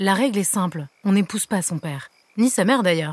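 A woman with an ordinary speaking voice talks fairly quickly, keeping a medium pitch and ordinary pitch variation. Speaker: fairy godmother character voice. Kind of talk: fairy-tale character dialogue for children.

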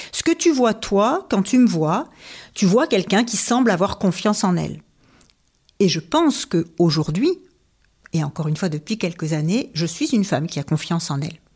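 The voice is somewhat breathy, swinging very widely in pitch at a moderate pace. Long, frequent pauses break it up, and the recording is very clean with a silent background. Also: woman, medium pitch for a woman. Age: 50s. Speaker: HR consultant and professional coach. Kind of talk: interview conversation. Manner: hesitant fillers.

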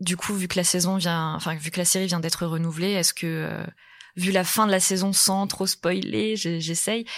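On a very clean recording with a silent background, a woman talks at a moderate pace in an unremarkable speaking voice. Her fairly low pitch keeps a fairly even intonation. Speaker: film journalist. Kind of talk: casual interview.

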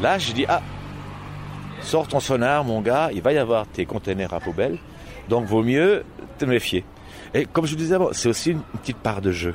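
With noticeable background noise behind him, a man at a medium pitch talks at a moderate pace, his voice making very wide pitch swings between long, frequent pauses. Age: 60s. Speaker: blind echolocation practitioner. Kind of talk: interview.

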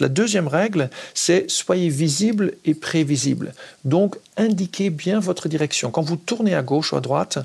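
Speaking at a fairly slow pace with a Dutch accent, a man uses a high pitch and lively intonation. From Netherlands. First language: Dutch (speaking French). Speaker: cycling advocacy spokesperson. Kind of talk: interview.

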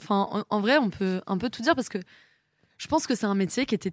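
Lively intonation from a woman at a fairly high pitch and a fairly quick pace, in a very clean recording with a silent background. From Brittany, France (Rennes). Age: 20s. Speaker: auctioneer. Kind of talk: casual interview.

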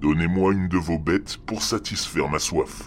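A man performs in a put-on character voice. Background noise is clearly audible. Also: moderate pace. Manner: ominous, ancient.

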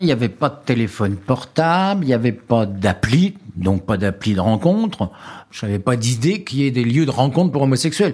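A medium-pitched man at a moderate pace, with very wide pitch swings. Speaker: witness, former office clerk. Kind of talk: personal testimony.

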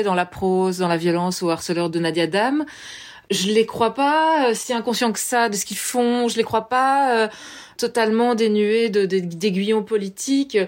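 A woman with an unremarkable speaking voice, fairly high pitch and ordinary pitch variation, at a fairly slow pace. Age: 30s. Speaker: journalist and filmmaker. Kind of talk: interview.

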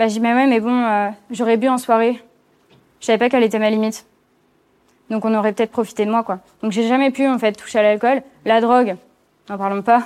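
A woman with a fairly high pitch speaks at a fairly quick pace in a monotone, flat intonation with long, frequent pauses, in a very clean recording with a silent background. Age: 20s. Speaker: cyberharassment survivor telling her story. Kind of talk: testimony.

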